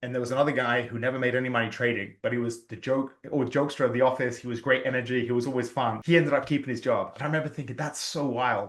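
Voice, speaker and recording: A man with an English accent talks at a very fast pace with hardly any pauses. His medium-pitched voice is monotone and flat. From England. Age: 40s. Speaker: real estate agent. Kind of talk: interview conversation.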